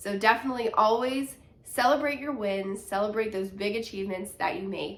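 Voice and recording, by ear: A woman talks at a moderate pace with a nasal sound. Her tone is fairly bright. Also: medium pitch for a woman, fairly even intonation.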